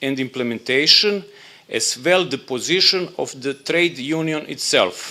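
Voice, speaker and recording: In a Serbian accent, a man speaks at a fairly slow pace with a fairly high pitch, a bright, sharp tone and ordinary pitch variation. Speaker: labour dispute agency official. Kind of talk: conference presentation. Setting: conference room. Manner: halting.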